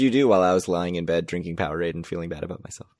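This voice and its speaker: Here a man speaks in a very deep, low voice. His pitch varies in an ordinary way. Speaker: casino podcast co-host. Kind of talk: casual chat. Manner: fast.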